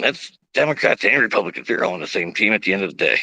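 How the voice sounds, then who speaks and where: Loud and bright, a man speaks in a sharp tone with vocal fry. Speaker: political video streamer. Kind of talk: live political monologue. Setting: outdoors. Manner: animated.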